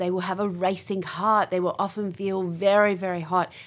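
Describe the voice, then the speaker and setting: On a very clean recording with a silent background, a woman with an Australian accent talks at medium pitch and a moderate pace. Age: 50s. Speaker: general practitioner. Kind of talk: interview.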